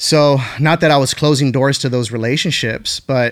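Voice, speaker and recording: In a very clean recording with a silent background, a man with a medium pitch speaks in a plain, everyday voice with fairly even intonation. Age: 30s. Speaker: pastor. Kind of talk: casual chat.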